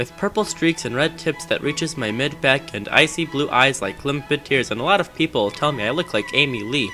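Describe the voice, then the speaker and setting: Music plays in the background. A man speaks at a fairly high pitch. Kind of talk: comedic dramatic reading of fan fiction. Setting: cheap game microphone.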